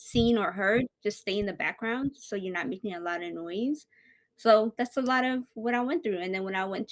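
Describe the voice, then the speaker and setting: In a non-native accent, a woman talks at a medium pitch with ordinary pitch variation, recorded very cleanly over a silent background with a dry, close sound and no echo. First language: not English. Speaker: podcast host. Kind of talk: casual chat.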